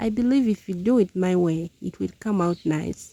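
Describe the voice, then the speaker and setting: Speaking at a fairly slow pace, a woman has a fairly low pitch and a dark, mellow tone. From Uganda (southwestern, Ankole). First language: Runyankole. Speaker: village lifestyle vlogger. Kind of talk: casual cooking vlog narration.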